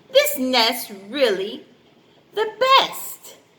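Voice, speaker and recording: A woman's put-on character voice, high in pitch. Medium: read story. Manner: sharp, demanding.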